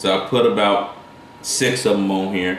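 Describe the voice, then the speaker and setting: In a strong Carolina accent, a man speaks at a fairly slow pace and a fairly low pitch, with ordinary pitch variation and audible room echo. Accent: thick Carolina. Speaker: cooking channel host. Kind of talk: cooking tutorial. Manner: casual, rambling with self-corrections.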